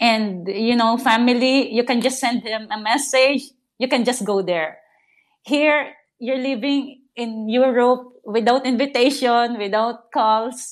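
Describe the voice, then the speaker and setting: A woman speaks at a fairly slow pace. Her high pitch carries fairly even intonation. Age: 30s. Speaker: caller. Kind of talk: personal advice call. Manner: halting.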